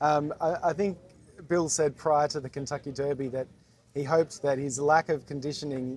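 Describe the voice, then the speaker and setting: At a moderate pace, a man talks with an ordinary speaking voice and fairly high pitch. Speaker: racing show host. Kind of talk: interview questions.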